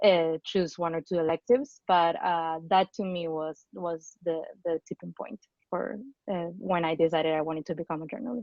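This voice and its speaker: A woman speaks at a moderate pace, her pitch fairly low. Her pitch varies in an ordinary way. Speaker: journalist, alumni panelist. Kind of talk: panel discussion. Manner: halting, many restarts.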